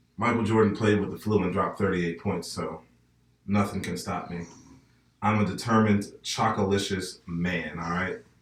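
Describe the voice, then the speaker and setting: With an American accent, a man talks in a fairly low, somewhat breathy voice. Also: moderate pace. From northern US. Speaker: podcast host. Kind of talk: casual chat.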